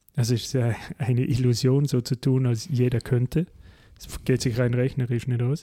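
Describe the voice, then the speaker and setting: Using a somewhat breathy, dark, mellow tone, a man speaks at a medium pitch and moderate pace with fairly even intonation. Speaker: podcast host. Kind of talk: casual political discussion.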